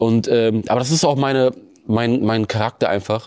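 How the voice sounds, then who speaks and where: Over a very clean recording with a silent background, a man talks at a moderate pace in a dark, mellow tone with fairly even intonation. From Bremen, northern Germany. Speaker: extreme runner. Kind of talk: interview. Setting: studio.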